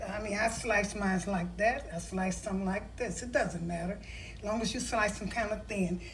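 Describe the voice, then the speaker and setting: A woman with a medium-pitched voice and fairly even intonation is heard over noticeable background noise, with audible room echo. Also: moderate pace. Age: 70s. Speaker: home cooking video host. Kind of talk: cooking tutorial. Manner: casual, with hesitations.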